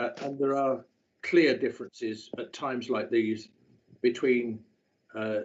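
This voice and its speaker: The speaker is a man with a medium pitch. He talks at a moderate pace. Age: 70s. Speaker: local councillor. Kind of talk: council debate speech. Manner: halting, many filler sounds.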